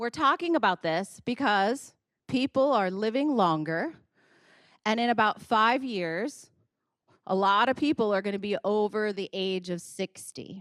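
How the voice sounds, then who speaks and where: A woman's animated, fairly high voice at a fairly slow pace, dry and close with no echo, on a very clean recording with a silent background. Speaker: audiologist. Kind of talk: health presentation.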